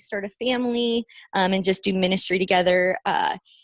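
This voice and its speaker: A plain, everyday voice from a woman with an American accent, moderate pace and ordinary pitch variation, dry and close with no echo, over a quiet background. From Las Vegas, Nevada, US. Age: 20s. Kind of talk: podcast interview.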